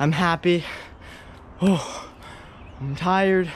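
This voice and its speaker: The man's voice has ordinary pitch variation and a dry sound with no echo, with light background noise. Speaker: fitness vlogger. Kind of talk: casual vlog chat. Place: garden. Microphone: phone near.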